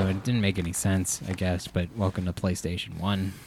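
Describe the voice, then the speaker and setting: Fairly low in pitch, a man speaks with an unremarkable speaking voice at a fairly quick pace. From Filipino American. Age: 30s. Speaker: comedian. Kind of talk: casual chat.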